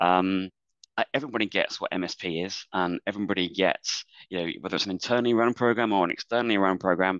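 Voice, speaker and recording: Speaking very fast with an English accent, a man uses a fairly low pitch and ordinary pitch variation. The sound is dry and close with no echo, against a quiet background. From England. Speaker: business executive, panelist. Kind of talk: webinar panel discussion. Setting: online webinar.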